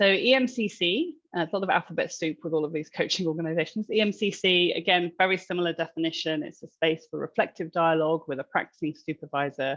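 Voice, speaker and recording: A woman with a fairly low pitch and ordinary pitch variation talks at a very fast pace with hardly any pauses, the sound dry and close with no echo. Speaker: coaching supervisor. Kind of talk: webinar presentation.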